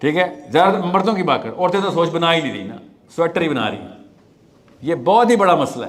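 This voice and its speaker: A man speaks with a high pitch and lively intonation. Noticeable background noise is audible. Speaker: motivational speaker. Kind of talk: live talk to audience.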